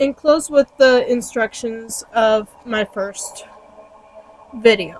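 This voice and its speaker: A woman's fairly high voice at a very slow pace, with long, frequent pauses, ordinary pitch variation, a dry, close sound with no echo and noticeable background noise. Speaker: Wiccan teacher. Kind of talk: reading aloud; guided meditation.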